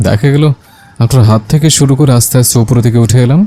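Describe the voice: What's heard here is plain reading aloud.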